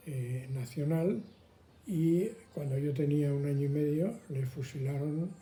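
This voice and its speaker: The man's pitch is fairly high and his pace fairly slow. Room echo is audible. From Madrid, Spain. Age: 80s+. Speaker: elderly interviewee. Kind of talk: testimony.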